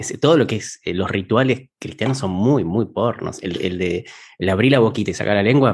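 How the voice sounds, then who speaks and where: A man with an ordinary speaking voice, fairly low in pitch with ordinary pitch variation, at a fairly quick pace against a quiet background. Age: 30s. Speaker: podcast co-host. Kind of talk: casual chat.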